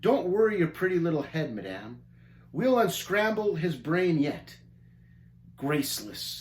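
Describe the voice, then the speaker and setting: A gruff put-on character voice at a middle pitch moves at a moderate pace, broken by long, frequent pauses. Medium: read story. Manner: gruff, snappish, impatient.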